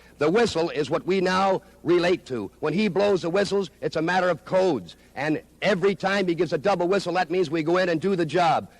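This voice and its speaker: At a fairly quick pace, a man with a high pitch keeps his loudness very even and his pitch variation ordinary. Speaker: pro wrestler. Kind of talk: wrestling promo. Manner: boastful, brash.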